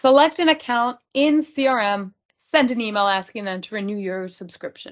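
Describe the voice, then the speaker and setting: The background is quiet. A woman talks with lively intonation. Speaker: user group presenter; presenter. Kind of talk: technical presentation. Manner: fast. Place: home room. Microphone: video call.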